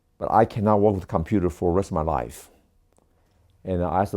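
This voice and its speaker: On a very clean recording with a silent background, a man with a Taiwanese accent speaks in a dark, mellow tone with ordinary pitch variation. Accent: Taiwanese Mandarin-accented English. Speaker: doctor of Chinese medicine. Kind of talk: testimony.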